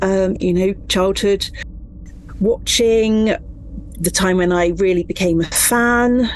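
A woman speaks at a very slow pace, her voice at a medium pitch with ordinary variation. Noticeable background noise runs behind her. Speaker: author. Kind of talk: interview.

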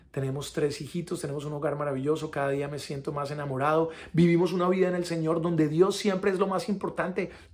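Very fast with hardly any pauses, the delivery keeps a fairly even intonation. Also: man, fairly high pitch for a man. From Colombia. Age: 40s. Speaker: actor giving faith testimony. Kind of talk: testimony. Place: home room. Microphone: phone near.

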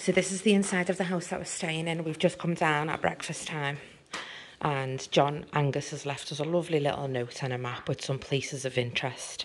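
A woman's very deep, low pitch, ordinary pitch variation and fairly quick pace over light background noise. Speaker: travel vlogger. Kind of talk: casual vlog chat. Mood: cheerful, enthusiastic. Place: home room.

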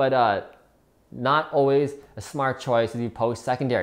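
A man at medium pitch, with fairly even intonation and a fairly quick pace

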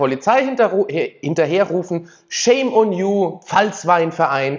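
An animated, high-pitched male voice over a quiet background. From Rheinhessen, Germany (near the Palatinate border). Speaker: political YouTuber. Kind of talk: opinion commentary vlog. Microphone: lapel.

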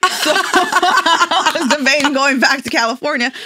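In a dry sound with no echo, a woman speaks in an animated tone with very wide pitch swings. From Mexico, Michoacan. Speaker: social media influencer. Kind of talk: casual chat. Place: studio. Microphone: studio mic.

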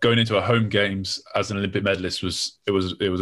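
Against a silent background in a very clean recording, a man speaks with a London accent. His pitch is fairly low and his intonation monotone and flat. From southern England. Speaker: athlete. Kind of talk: casual chat.

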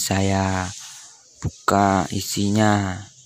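Music plays in the background as a man speaks at a fairly low pitch. The sound is dry, with no echo. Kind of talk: tutorial. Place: home room.

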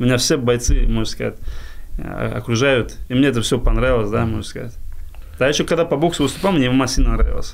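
Light background noise sits under the voice. The pace is fairly quick, with ordinary pitch variation. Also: man. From Dagestan, Russia. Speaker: boxer and MMA fighter. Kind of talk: casual interview. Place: studio. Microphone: studio mic.

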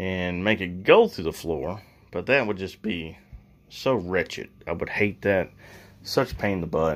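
The voice belongs to a man. He delivers his words fairly slowly. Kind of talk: casual DIY vlog narration. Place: bathroom. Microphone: phone near.

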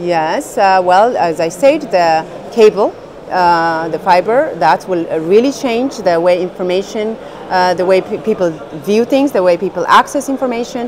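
With noticeable background noise behind her, a woman speaks at a fairly slow pace using lively intonation. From Ethiopia. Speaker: tech entrepreneur. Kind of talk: TV interview. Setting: on location at a conference. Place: hall.

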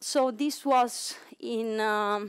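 A woman with an Italian accent speaks against a quiet background. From Italy. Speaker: cryo-EM facility manager. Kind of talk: conference talk. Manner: halting. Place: hall.

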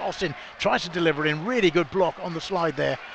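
There is noticeable background noise. Over it, a man speaks in an animated tone. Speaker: football commentator. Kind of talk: live radio-style football match commentary. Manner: animated, fast-paced play-by-play, rising on goals and chances.

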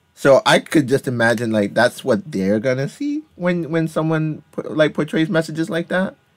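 In an ordinary speaking voice, a man talks at a moderate pace with hardly any pauses, lively intonation and a fairly high pitch, the sound dry and close with no echo. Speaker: gaming community podcast host. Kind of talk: casual chat.

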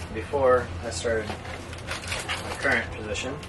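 Noticeable background noise behind a man with ordinary pitch variation. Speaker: co-host. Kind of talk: casual vlog chat. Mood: playful, joking. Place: home room. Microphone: camera far.

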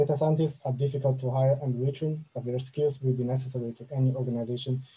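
A man's somewhat breathy voice, dark and mellow in tone, with monotone, flat intonation. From China. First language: Chinese. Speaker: machine learning engineer; presenter. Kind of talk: online talk with slides. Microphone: webcam.

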